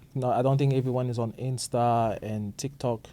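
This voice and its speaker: A man talks at a moderate pace and medium pitch with fairly even intonation. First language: not English. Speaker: podcast co-host. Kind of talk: casual chat. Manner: halting, many fillers.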